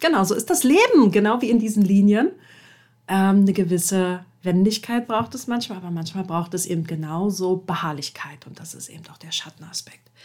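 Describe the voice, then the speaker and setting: A woman speaks at a moderate pace and medium pitch in a somewhat breathy voice, with ordinary pitch variation, big swings in loudness and a very clean recording with a silent background. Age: 30s. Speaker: podcast host and coach. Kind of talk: solo podcast monologue. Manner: casual with frequent fillers.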